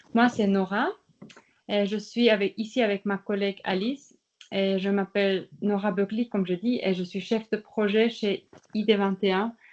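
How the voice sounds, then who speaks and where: Speaking with a Swiss German accent, a woman uses a medium pitch and monotone, flat intonation at a fairly slow pace. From German-speaking Switzerland. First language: Swiss German (speaking French). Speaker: participation project manager. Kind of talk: workshop presentation.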